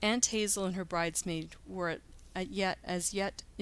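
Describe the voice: Fairly even intonation in a plain reading aloud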